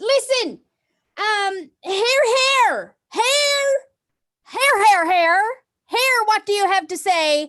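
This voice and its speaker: A woman's put-on, squeaky character voice at an extremely high pitch, very slow, with lively intonation and long, frequent pauses. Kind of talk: comic overacting. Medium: stage play. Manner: flamboyant, teasing.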